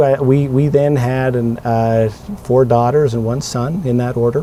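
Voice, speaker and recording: Speaking with a Western US accent, a man keeps a medium pitch and fairly even intonation. He moves at a moderate pace over noticeable background noise. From Utah. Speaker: city council candidate. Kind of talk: casual interview.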